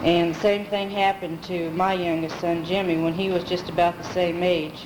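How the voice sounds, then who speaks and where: A fairly low-pitched woman with audible room echo and noticeable background noise. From US Midwest, Pekin, Illinois. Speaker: family member telling life story. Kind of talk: oral history recollection. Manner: halting.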